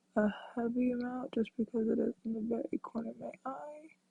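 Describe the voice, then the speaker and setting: A woman's high-pitched voice at a fairly slow pace, with fairly even intonation, a dry, close sound with no echo, and music in the background. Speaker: makeup vlogger. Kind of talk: makeup tutorial. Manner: casual, hesitant with fillers.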